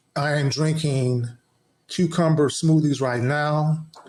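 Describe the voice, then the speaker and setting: A man's fairly high, somewhat breathy voice at a fairly slow pace. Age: 60s. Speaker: podcast co-host. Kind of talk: casual chat. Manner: animated.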